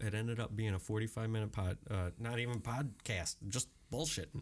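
A man with a plain, everyday voice keeps a medium pitch, moderate pace, fairly even intonation and very even loudness, with hardly any pauses. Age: 30s. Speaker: podcast host. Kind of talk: casual chat.

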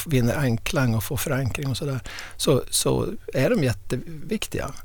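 His voice is somewhat breathy and medium in pitch. The man speaks at a moderate pace. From inland Västerbotten, northern Sweden. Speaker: historian of ideas and professor. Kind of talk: podcast interview. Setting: studio. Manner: halting, frequent repetitions.

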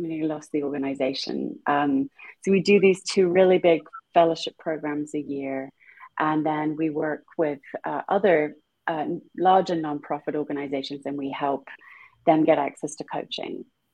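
A woman with a British accent speaks at a very deep, low pitch. Her intonation is fairly even, yet her loudness swings a lot. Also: moderate pace. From England. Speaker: author and nonprofit founder. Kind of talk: casual interview.

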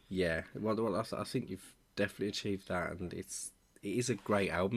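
Fairly even intonation marks this speech in a Birmingham accent at a fairly quick pace. The recording is very clean, with a silent background. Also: man. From Birmingham, England. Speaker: podcast host. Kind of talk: scripted intro; casual interview.

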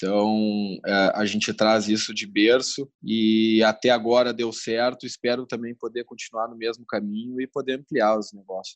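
Over a dry, close sound with no echo, a man speaks at a moderate pace in a monotone, flat intonation with hardly any pauses. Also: medium pitch for a man. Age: 20s. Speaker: newspaper operations director. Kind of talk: interview. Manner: halting.

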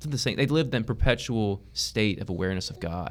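A man with an American accent, fairly quick pace and vocal fry. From East Texas. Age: 20s. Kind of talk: interview conversation.

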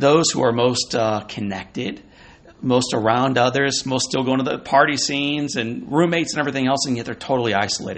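Fairly quick in pace, a man talks with an American accent. Noticeable background noise is present. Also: medium pitch for a man, ordinary pitch variation. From Missouri, US Midwest. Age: 40s. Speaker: motivational speaker. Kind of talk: interview. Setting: at a conference.

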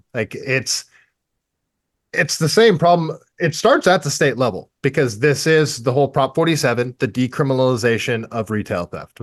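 An animated man with an American accent, medium in pitch, with lively intonation. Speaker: political candidate and tradesman. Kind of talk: radio interview.

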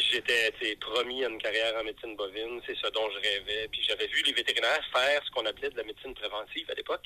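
This man talks at a very fast pace. He hardly pauses at all. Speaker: veterinarian. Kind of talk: phone call.

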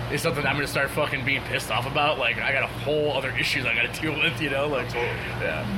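With music in the background, the speech runs at a very fast pace with hardly any pauses, very even loudness and monotone, flat intonation. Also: man, fairly high pitch for a man. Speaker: metal band musician. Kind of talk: casual chat. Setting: venue basement.

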